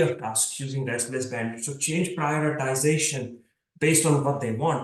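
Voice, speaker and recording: With an Indian accent, a man speaks in a fairly high, somewhat breathy voice with fairly even intonation, and audible room echo is present. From India, Mumbai. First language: Marathi. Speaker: computer science professor. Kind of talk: lecture.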